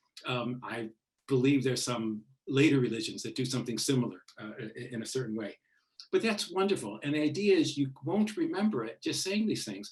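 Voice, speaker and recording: A man's somewhat breathy voice at a medium pitch, with very wide pitch swings and a fairly quick pace. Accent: Midwestern. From US Midwest, Chicago. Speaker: author. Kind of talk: book launch Q&A talk. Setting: book launch event with audience. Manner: hesitant, many fillers.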